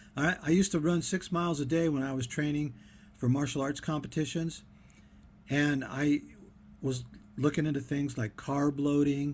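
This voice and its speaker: In a very clean recording with a silent background, a man with a fairly high pitch speaks at a moderate pace in a somewhat breathy voice, with fairly even intonation and long, frequent pauses. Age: 60s. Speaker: diet vlogger. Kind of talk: casual monologue. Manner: halting, many fillers.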